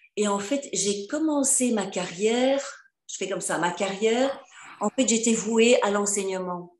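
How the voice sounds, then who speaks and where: Audible room echo surrounds a woman's voice. She speaks at a fairly slow pace with a fairly high pitch. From Flanders, Belgium. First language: Dutch (Flemish) (speaking French). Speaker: professional coach and author. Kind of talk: interview on video call. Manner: hesitant, many fillers.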